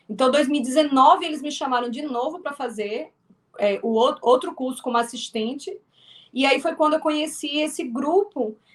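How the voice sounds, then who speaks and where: With a strong northeastern Brazilian accent, a woman speaks in a high pitch. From Northeast Brazil (Alagoas). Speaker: filmmaker and actress. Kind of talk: interview. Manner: halting, many repetitions.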